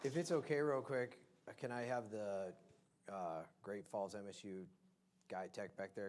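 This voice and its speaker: A man with an American accent and a plain, everyday voice, fairly low in pitch, with ordinary pitch variation at a moderate pace. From Montana, Bozeman. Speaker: debate moderator. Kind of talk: moderating a debate.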